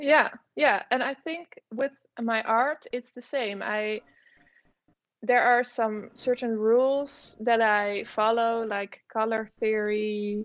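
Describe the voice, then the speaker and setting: Speaking very slowly with a Dutch accent, a woman uses a fairly high pitch and fairly even intonation. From Netherlands. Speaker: artist and illustrator. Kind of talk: interview. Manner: hesitant, many fillers.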